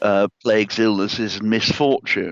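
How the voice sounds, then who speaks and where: Keeping a fairly even intonation, a man with a medium pitch speaks at a fairly slow pace. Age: 60s. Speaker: author and editor. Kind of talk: interview. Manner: halting.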